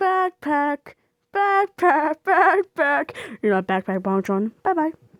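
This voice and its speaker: A woman uses a put-on character voice, high in pitch with very wide pitch swings, at a fairly slow pace. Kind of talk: comic overacting. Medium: machinima. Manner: silly, exaggerated.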